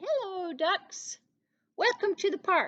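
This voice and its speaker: A woman's squeaky, put-on character voice sits at an extremely high pitch with lively intonation and a fairly slow pace, in a dry, close sound with no echo. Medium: read story.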